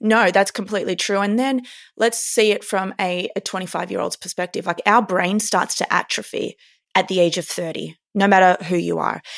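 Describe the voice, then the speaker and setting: On a very clean recording with a silent background, a woman with an Australian accent speaks at a moderate pace and medium pitch with fairly even intonation. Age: 30s. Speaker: neurophysiologist and performance coach. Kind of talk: interview.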